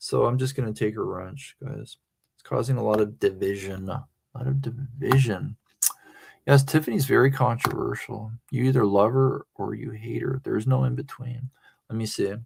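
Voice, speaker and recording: A man with a slight Southern accent speaks with big swings in loudness. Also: moderate pace. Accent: slight Southern-sounding accent online. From North Central Pennsylvania. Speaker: live streamer. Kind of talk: casual live stream chat.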